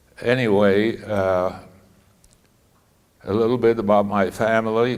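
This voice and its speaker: At a very slow pace, a man speaks at a fairly low pitch with fairly even intonation and audible room echo. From Poland, Lodz. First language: Polish. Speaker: Holocaust survivor speaker. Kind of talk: talk to students. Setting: school audience. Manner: halting.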